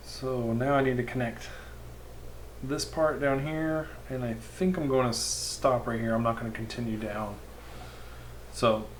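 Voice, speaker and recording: Mumbling at a very slow pace comes through with audible room echo and noticeable background noise. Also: man. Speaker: live streamer doing web design. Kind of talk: live stream tutorial. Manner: mumbling to himself.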